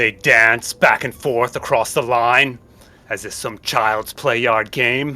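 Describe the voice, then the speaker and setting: A man's booming, resonant put-on character voice at medium pitch, raised and projected, at a fairly slow pace. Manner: commanding, solemn.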